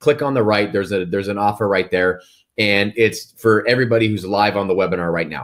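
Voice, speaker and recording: Talking at a very fast pace, a man uses a fairly low pitch. His pitch variation is ordinary. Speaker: real estate agent and software founder. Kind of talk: webinar sales presentation. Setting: live webinar. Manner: animated.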